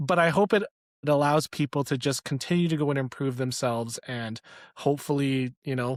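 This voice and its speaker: With a Canadian accent, a man speaks at a fairly high pitch and a fairly quick pace, with ordinary pitch variation, in a very clean recording with a silent background and a dry, close sound with no echo. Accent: northern (Canadian). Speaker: leadership coach. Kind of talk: interview podcast chat.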